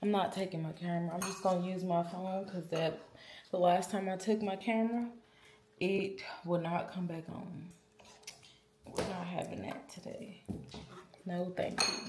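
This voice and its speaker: Over noticeable background noise, a woman speaks at a moderate pace in a monotone, flat intonation, with long, frequent pauses. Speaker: vlogger. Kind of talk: casual vlog chat. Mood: relaxed, a bit sluggish. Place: kitchen. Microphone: phone near.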